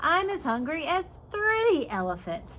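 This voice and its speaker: Someone does a squeaky, put-on character voice with very wide pitch swings, talking at a fairly slow pace over clear background noise. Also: woman, high pitch for a woman. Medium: read story.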